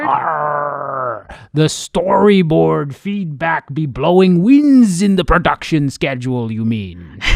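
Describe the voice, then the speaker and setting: Using a put-on character voice, a man speaks at a fairly slow pace with hardly any pauses. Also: fairly high pitch for a man. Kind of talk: pirate dialect. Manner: playful, jokey.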